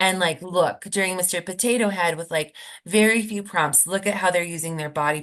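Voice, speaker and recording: A woman with a plain, everyday voice, a fairly low pitch and ordinary pitch variation, against a quiet background. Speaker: speech language pathologist. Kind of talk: webinar presentation Q&A. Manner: casual, many fillers.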